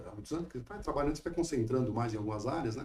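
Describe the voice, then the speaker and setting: This man has a medium-pitched, dark and mellow tone that is somewhat breathy. His intonation is lively. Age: 60s. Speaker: lawyer. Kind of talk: interview.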